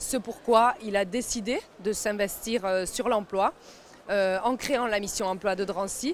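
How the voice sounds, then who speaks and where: A woman speaks at a medium pitch with a Paris suburban accent. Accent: Paris suburban (93). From France, Seine-Saint-Denis (Paris suburbs). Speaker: mayor. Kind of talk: interview. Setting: job fair at a stadium. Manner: hesitant, many fillers.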